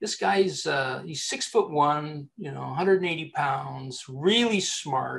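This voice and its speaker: A man with a Canadian accent at a very slow pace, with big swings in loudness. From Canada. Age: 60s. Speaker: executive recruiter. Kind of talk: interview. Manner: halting.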